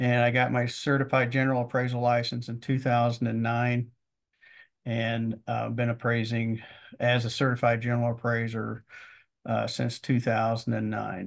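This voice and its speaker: A man in a Midwestern American accent at a medium pitch and moderate pace, with a monotone, flat intonation and a quiet background. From Missouri. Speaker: land appraiser. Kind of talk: interview. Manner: halting.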